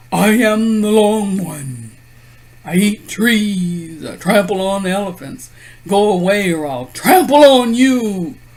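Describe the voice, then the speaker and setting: Slipping into a put-on character voice, a man speaks high and fairly slowly. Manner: threatening, boastful.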